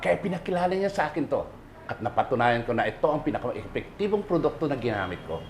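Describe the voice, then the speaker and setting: This man speaks at a very fast pace in a fairly high pitch, with very wide pitch swings. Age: 50s. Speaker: construction worker. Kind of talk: testimonial.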